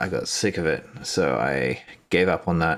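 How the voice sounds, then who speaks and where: A man's very deep, low voice in an Australian accent at a very slow pace, on a very clean recording with a silent background. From Australia, Brisbane. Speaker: miniature painting youtuber. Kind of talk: casual livestream chat while painting. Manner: casual, filler-heavy.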